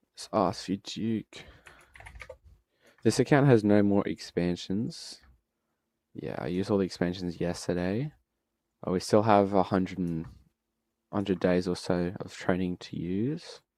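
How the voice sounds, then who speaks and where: Over a silent background in a very clean recording, a man with a very deep, low, dark and mellow voice speaks in a relaxed tone at a fairly slow pace, with ordinary pitch variation, big swings in loudness and long, frequent pauses. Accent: Australian. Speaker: gaming streamer. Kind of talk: live gameplay commentary. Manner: casual, relaxed.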